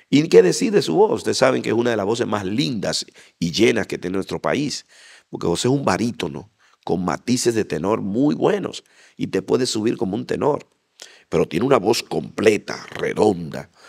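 A man's fairly low voice with vocal fry and very wide pitch swings. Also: moderate pace, quiet background. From Dominican Republic, Santo Domingo and Bonao; Dominican Republic. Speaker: interview guest. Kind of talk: interview testimony. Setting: church association facility. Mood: animated, heartfelt testimony. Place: hall. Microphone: handheld.

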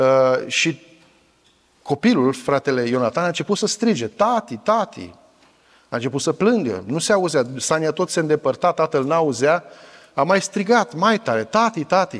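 With long pauses that come often, a man talks at a moderate pace against a quiet background. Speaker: pastor. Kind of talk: sermon. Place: church. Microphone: lapel.

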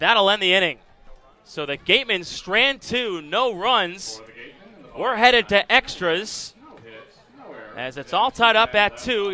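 A man's raised, projected voice, high in pitch, with a bright, sharp, animated tone, lively intonation, a fairly slow pace and long, frequent pauses. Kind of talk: live commentary. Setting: ballpark broadcast. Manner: animated, excitable home-run calls.

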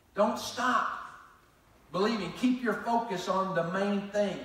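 The delivery comes at a fairly slow pace with a fairly bright tone. Strong room echo surrounds the voice. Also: man.

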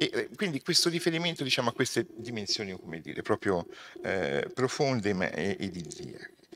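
A man talks at a moderate pace, his pitch swinging very widely with vocal fry. Light background noise is present. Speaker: sociology professor. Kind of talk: lecture. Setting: stage with live audience. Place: hall. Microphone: podium.

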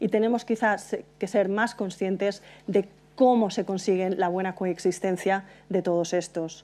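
A woman's medium-pitched voice, dark and mellow in tone, with fairly even intonation at a fairly slow pace. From Spain, Valencia. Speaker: transport consultant. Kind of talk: conference talk. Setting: stage with audience. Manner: hesitant, frequent fillers. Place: hall.

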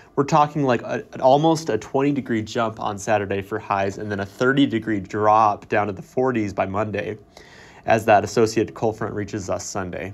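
A man speaks in an ordinary speaking voice at a fairly low pitch. His pace is moderate, with ordinary pitch variation. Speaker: weather forecaster. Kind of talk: scripted radio weather report with playful, colorful phrasing. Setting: radio studio. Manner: brisk, upbeat delivery with wry asides; clear, measured reading of numbers and regions.

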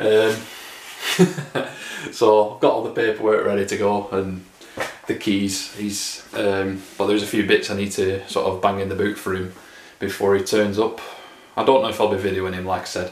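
A man speaks at a moderate pace with fairly low pitch and monotone, flat intonation, leaving long, frequent pauses. Audible room echo and light background noise are present. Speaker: car vlogger. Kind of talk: casual vlog chat. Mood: a bit sad, wistful. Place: kitchen. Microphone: phone near.

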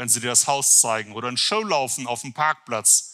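A man's bright, sharp tone at a medium pitch, with ordinary pitch variation and a moderate pace.

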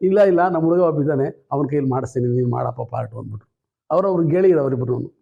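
A man speaks in a dark, mellow tone. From Tumkur, Karnataka, India. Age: 70s. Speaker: theatre actor and harikatha performer. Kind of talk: interview storytelling.

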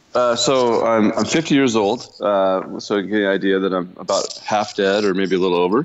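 Through noticeable background noise, a man keeps a very even loudness with hardly any pauses. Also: fairly low pitch for a man, ordinary pitch variation, moderate pace. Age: 50s.

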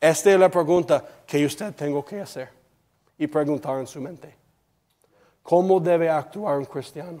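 With an English accent, a man talks at a moderate pace with long, frequent pauses, a dark, mellow tone, fairly high pitch, fairly even intonation and big swings in loudness against a quiet background. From United States. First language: English (speaking Spanish). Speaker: preacher. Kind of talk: sermon. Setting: church. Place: church.

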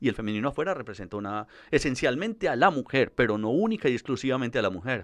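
A man talking at a very fast pace, his pitch swinging very widely, over a quiet background. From Colombia, Medellín. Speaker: psychologist; guest. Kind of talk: interview. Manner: hesitant with fillers. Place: studio. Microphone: studio mic.

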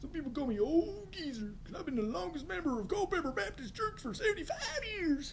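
A put-on character voice rattles along at a fairly quick pace with hardly any pauses over clear background noise.

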